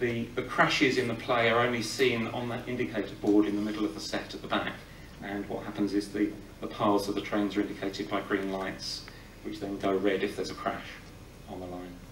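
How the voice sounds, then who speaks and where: Fairly low-pitched man at a fairly quick pace with fairly even intonation, audible room echo and light background noise. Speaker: film historian. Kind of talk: live talk introducing a film screening. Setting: live audience in a cinema. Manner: humorous, irreverent, informed; hesitant, with many filler sounds. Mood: relaxed, gently humorous. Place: hall. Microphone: podium.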